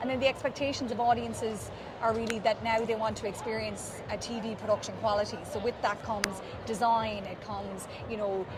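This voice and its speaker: Noticeable background noise and audible room echo surround a woman with an Irish accent. Her fairly high voice moves at a fairly quick pace in a monotone, flat intonation. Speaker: event production company marketer. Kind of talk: interview. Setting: trade show floor.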